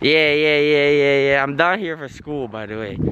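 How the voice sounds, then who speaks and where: Noticeable noise behind a male voice, dry and echo-free. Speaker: farm vlogger. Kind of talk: casual vlog chat. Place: farm machine. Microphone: phone near.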